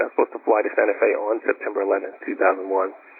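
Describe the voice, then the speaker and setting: Very fast speech from a man, set against noticeable background noise. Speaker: guitarist and record producer. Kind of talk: interview answer. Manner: soft-spoken.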